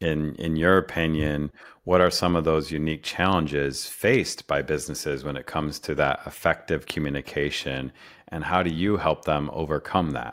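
On a very clean recording with a silent background, a man with a very deep, low pitch and vocal fry talks at a fairly quick pace with ordinary pitch variation. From upstate New York (Rochester). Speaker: podcast host. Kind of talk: interview.

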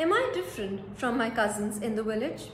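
A woman with an Indian accent speaks at a fairly high pitch in a dramatic tone with lively intonation. Her pace is fairly slow, and there is noticeable background noise. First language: Hindi. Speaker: storyteller and narrator. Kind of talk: dramatic first-person narration of a short story, read as a paan-shop seller. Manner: reflective, brooding, measured pace; dramatic, wistful, slow deliberate delivery with pauses.

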